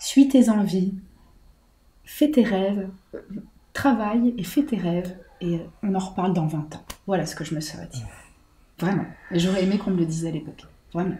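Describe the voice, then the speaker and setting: A woman speaks at a medium pitch with lively intonation and a dark, mellow, somewhat breathy tone. Her loudness swings widely, and she leaves long, frequent pauses. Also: moderate pace. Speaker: jazz singer. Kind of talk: interview answer.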